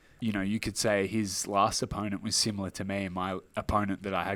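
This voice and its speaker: In a very clean recording with a silent background, a man with a strong Australian accent talks very fast in a fairly low, monotone, flat voice. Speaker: mixed martial arts fighter. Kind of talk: interview. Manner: casual.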